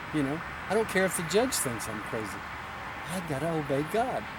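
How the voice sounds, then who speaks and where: A man speaks at a fairly quick pace in a high voice with very wide pitch swings. Room echo is audible, and there is noticeable background noise. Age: 60s. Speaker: pastor. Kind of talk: interview. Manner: casual storytelling.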